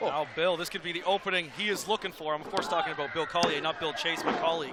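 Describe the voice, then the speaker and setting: Over noticeable background noise, a high-pitched man talks at a very fast pace. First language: Portuguese. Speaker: wrestling commentator. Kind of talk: live commentary. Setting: arena with live crowd. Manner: animated.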